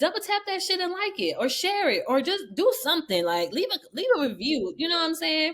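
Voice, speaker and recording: Using an American accent, a woman with an extremely high pitch talks at a fairly quick pace with hardly any pauses, her animated tone swinging very widely in pitch. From Memphis, US South. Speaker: podcast host. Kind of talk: casual chat.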